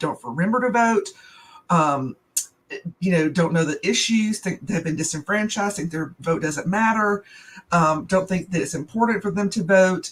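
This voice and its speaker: A woman's somewhat breathy voice in a Southern US accent, medium in pitch with ordinary variation, at a moderate pace. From US South. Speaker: small business owner. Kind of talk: casual chat.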